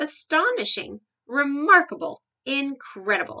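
Putting on a character voice, a woman talks fairly slowly at a high pitch, bright and sharp in tone, with big pitch swings.

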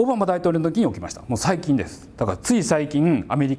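A man talks at a fairly quick pace in a fairly high voice. His pitch swings very widely. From Japan, Kagawa; Japan. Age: 40s. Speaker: university professor. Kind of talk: lecture. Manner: casual, conversational with many fillers. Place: classroom. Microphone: lapel.

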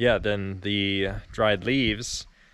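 The sound is dry with no echo as a man talks at a fairly low pitch over noticeable background noise. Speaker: farm worker vlogger. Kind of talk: casual vlog chat. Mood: relaxed, a little unsure. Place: farm machine. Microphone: phone near.

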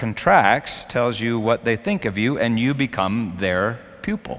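The talker is a man. He speaks very slowly. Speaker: preacher. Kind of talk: sermon. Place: church. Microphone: headset.

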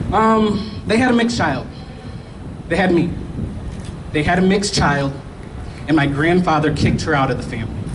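A high-pitched man talks at a fairly quick pace with an animated tone and lively intonation, breaking often into long pauses. Noticeable background noise runs underneath. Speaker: speaker. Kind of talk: rally speech with call-and-response; speech. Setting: outdoor rally with crowd. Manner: animated, crowd-rousing; personal and storytelling. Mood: personal, earnest. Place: street. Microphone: handheld.

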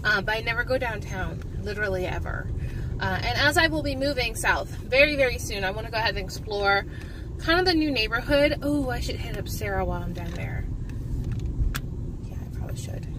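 A woman talks at a fairly quick pace. Noticeable background noise runs under her voice. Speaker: vlogger. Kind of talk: casual vlog chat. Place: car.

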